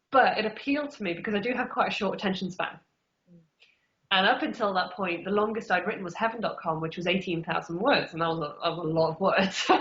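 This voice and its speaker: A woman talks at a very fast pace. Her pitch shows ordinary variation. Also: medium pitch for a woman. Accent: English Midlands. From England, Derby. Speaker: author. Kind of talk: interview. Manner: casual, many fillers.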